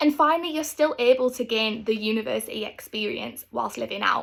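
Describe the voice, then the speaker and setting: Speaking at a fairly quick pace, a woman with a North East England accent has a fairly high pitch and vocal fry. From North East England, Stockton. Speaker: university student. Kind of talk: scripted talk to camera.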